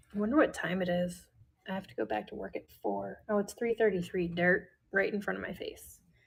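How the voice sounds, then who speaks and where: She speaks at a fairly quick pace with a slight Midwestern US accent. This woman's loudness swings a lot. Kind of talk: live selling stream. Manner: casual, chatty.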